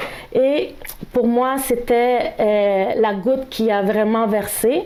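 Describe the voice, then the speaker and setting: Speech comes very slowly, with ordinary pitch variation. The room echo is audible and the background noise is noticeable. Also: woman, fairly high pitch for a woman. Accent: Spanish. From El Salvador. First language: Spanish (speaking French). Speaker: speaker sharing experience of workplace discrimination. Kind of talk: testimony. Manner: halting, with hesitations.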